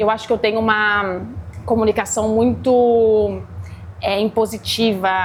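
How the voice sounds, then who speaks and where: A woman speaking at a fairly slow pace with long, frequent pauses, on a very clean recording with a silent background. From Brazil, interior (Guará). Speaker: chef and restaurant owner. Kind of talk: interview. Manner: energetic, agitated.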